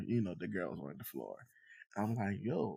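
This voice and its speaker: A man's intonation is lively, with vocal fry. He keeps a moderate pace. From Ghana. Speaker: bioengineer and entrepreneur. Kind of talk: casual interview. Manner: conversational with many fillers.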